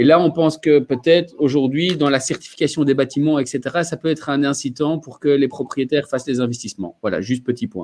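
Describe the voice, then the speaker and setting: Speaking at a fairly quick pace with hardly any pauses, a man with fairly high pitch uses ordinary pitch variation. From Belgium. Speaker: mobility company representative. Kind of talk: webinar panel talk.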